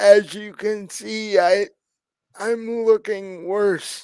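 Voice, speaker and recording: This is a put-on character voice with a fairly high pitch. The pace is very slow. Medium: actual play. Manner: urgent, insistent.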